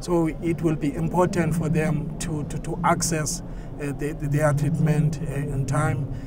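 A man talks at a fairly slow pace in a fairly high pitch, his intonation flat and monotone. Loud background noise surrounds a dry sound without echo. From South Africa. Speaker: HIV advocate. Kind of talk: testimony. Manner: halting, many fillers and repeats. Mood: earnest, calm. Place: studio.

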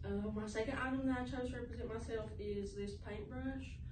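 With noticeable background noise behind her, a woman speaks at a moderate pace. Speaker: student presenter. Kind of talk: class presentation to camera. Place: classroom. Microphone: camera far.

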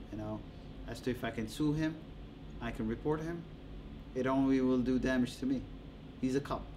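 Over noticeable background noise, the speaker moves along at a fairly quick pace. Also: man. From Djibouti. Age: 30s. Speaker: interviewee. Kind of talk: interview. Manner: casual, with frequent laughter. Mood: calm, mildly aggrieved. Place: studio.

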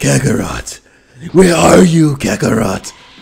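In a put-on character voice, a raspy man with a medium pitch makes very wide pitch swings. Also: fairly slow pace.

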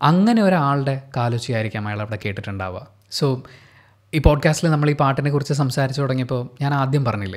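The background stays quiet while a man speaks with ordinary pitch variation. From Kerala, India. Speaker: podcast host. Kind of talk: solo monologue on song lyrics. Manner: reflective, pausing. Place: home room. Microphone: studio mic.

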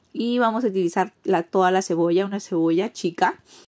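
A woman speaks at a fairly slow pace with a medium pitch and a dark, mellow tone. The background is quiet. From Peruvian Amazon, Iquitos; Peru. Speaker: cooking vlogger. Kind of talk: cooking tutorial. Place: kitchen. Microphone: phone near.

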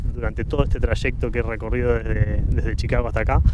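A man's voice, dry with no echo, is heard against noticeable background noise. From Argentina, Buenos Aires province. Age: 40s. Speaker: photographer; interview guest. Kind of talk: casual chat. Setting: outdoors in a park. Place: garden. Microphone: handheld.

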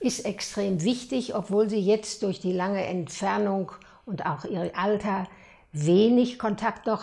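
A woman speaks in a dark, mellow tone at a fairly slow pace. Her pitch variation is ordinary. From Hagen, Westphalia, Germany. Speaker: contemporary witness. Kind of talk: interview answer. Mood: calm, reflective. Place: home room. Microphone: lapel.

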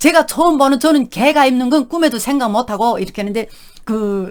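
The voice carries a North Korean accent and an animated tone. Its intonation is lively. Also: woman. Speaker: YouTube vlogger, North Korean defector. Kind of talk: casual storytelling monologue.

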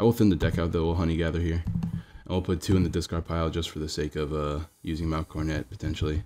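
Over music in the background, the speech runs at a very fast pace with fairly even intonation and hardly any pauses. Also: man, very deep, low pitch for a man. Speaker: gaming streamer. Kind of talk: live gameplay commentary. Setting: live stream.

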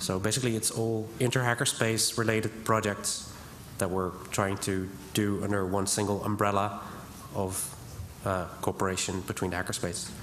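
A man's fairly low, flat monotone at a moderate pace, with long, frequent pauses and light background noise. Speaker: hackerspace member. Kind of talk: conference talk. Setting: stage with audience. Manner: hesitant, many fillers. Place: hall. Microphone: podium.

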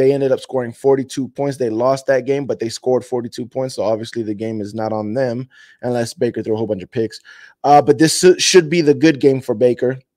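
In a quiet background, a man talks at a fairly quick pace in a dark, mellow tone with ordinary pitch variation. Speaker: fan channel host. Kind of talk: casual show intro chat.

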